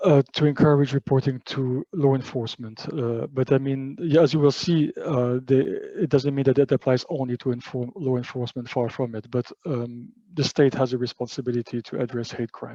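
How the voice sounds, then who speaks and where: A man speaks at a medium pitch with a dark, mellow tone and fairly even intonation. The sound is dry and close with no echo, and he hardly pauses. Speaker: panelist from an EU agency. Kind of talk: webinar presentation. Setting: online webinar with interpreters. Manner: fast; halting, many fillers.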